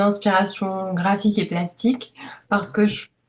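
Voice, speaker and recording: Her delivery is fairly slow and monotone, with flat intonation. The woman's pitch sits at a medium level. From Paris, France. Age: 30s. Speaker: illustrator and author. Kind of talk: interview testimony. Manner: hesitant, many fillers.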